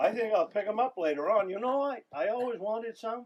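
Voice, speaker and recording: A man's put-on character voice, high-pitched and gruff, at a fairly quick pace. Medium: solo performance. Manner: gruff, profane.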